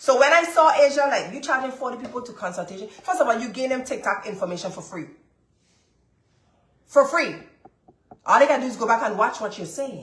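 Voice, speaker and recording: With an American accent, a woman speaks high and animated at a fairly quick pace, her pitch swinging very widely amid audible room echo. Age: 30s. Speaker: business coach and lab owner. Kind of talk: live-stream coaching session.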